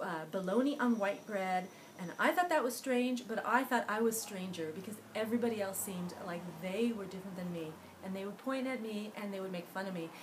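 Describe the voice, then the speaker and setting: With noticeable background noise and audible room echo, a woman of medium pitch talks at a fairly quick pace. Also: ordinary pitch variation, big swings in loudness. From Los Angeles (San Fernando Valley), Cuban-born. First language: Spanish. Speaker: author and illustrator. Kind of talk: interview monologue. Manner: hesitant, with fillers and restarts.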